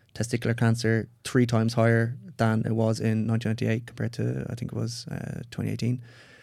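The recording is very clean, with a silent background. A man with a dark, mellow tone speaks very fast in a monotone, flat way. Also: medium pitch for a man, hardly any pauses. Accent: Irish. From Ireland. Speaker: psychedelic retreat facilitator and scientist. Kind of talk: interview conversation.

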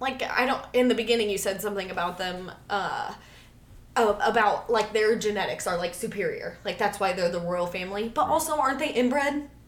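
Noticeable background noise behind a woman's fairly high voice, fairly quick in pace with ordinary pitch variation. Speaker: podcast host. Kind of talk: casual chat.

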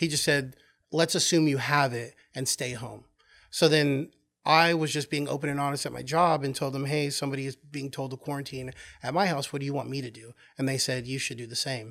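In a normal speaking voice, a man with an American accent talks fairly quickly at a fairly high pitch with fairly even intonation. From Oklahoma. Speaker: podcast guest, retail manager and artist. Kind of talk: casual chat.

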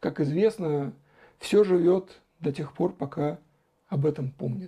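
At a fairly slow pace, a man talks in a high pitch with a dark, mellow tone. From Russia, Saratov. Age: 40s. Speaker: blogger answering viewer questions. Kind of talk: solo Q&A monologue.

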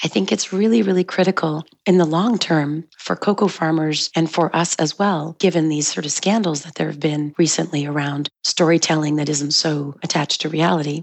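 The woman's pitch is very deep and low, with ordinary variation. She speaks at a moderate pace with hardly any pauses. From Montreal suburbs, Quebec. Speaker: chocolate shop founder. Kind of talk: interview.

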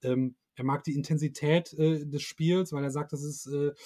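Here a man's voice has a dark, mellow tone and is somewhat breathy. His intonation is monotone and flat. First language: German. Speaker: fan podcast host and interviewer. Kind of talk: interview with live translation. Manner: halting, many fillers.

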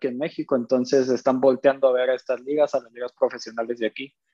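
With a normal speaking voice, a man talks at a fairly quick pace and a fairly high pitch, the sound dry and close with no echo. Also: quiet background. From northern Mexico (Monterrey). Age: 20s. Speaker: professional basketball player. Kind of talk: casual interview.

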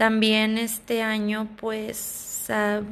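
This woman's voice sits at a fairly high pitch. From Sonora, Mexico. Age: 20s. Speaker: flight attendant. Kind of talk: casual monologue. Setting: home recording. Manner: halting.

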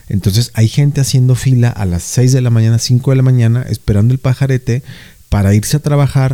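In a Mexican accent, a man speaks at a fairly quick pace with a dark, mellow tone and fairly even intonation. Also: medium pitch for a man, very even loudness. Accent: Mexican Spanish (Jalisco). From Mexico, Jalisco. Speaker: podcast co-host. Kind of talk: casual chat.

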